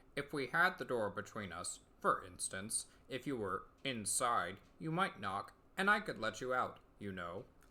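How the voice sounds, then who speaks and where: On a very clean recording with a silent background, a man uses a put-on character voice at medium pitch and a moderate pace. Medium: read story. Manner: slow, detached, solemn.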